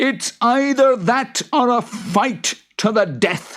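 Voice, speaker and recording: Doing a put-on character voice, a man sounds gruff and growling at an extremely high pitch, speaking at a very slow pace with ordinary pitch variation. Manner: growling, threatening.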